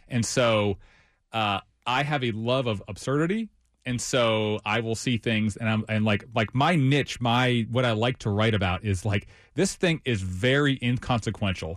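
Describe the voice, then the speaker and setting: A man with an American accent, a normal speaking voice at medium pitch, ordinary pitch variation, very even loudness and a moderate pace. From Ohio. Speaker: writer and podcast host. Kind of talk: casual chat.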